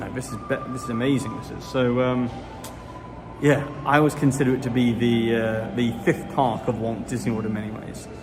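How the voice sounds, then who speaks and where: Over music in the background, a man with a British accent speaks at medium pitch and a moderate pace, with fairly even intonation, big swings in loudness and audible room echo. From Britain. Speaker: Disney news YouTuber. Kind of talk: casual livestream chat. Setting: outdoors in a theme park. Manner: casual, hesitant with fillers.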